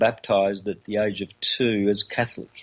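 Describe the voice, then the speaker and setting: A man talks with an Australian accent. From Australia, country Victoria. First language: Calabrian Italian dialect. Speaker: esoteric lecturer. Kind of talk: interview. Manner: halting, many fillers.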